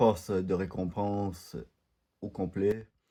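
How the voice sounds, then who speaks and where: A man's dark, mellow voice at a fairly low pitch, with a Quebec accent and a very slow pace. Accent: Quebec French, unlike French from France. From Quebec, Canada. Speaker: gaming YouTuber. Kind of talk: gameplay commentary. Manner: halting, many hesitations.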